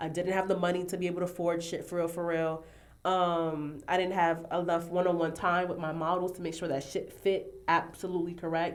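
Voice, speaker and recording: The speaker goes at a fairly quick pace. Audible room echo is present. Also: woman, fairly low pitch for a woman. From New York City, Harlem. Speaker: fashion designer. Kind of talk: casual podcast interview. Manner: chatty, animated.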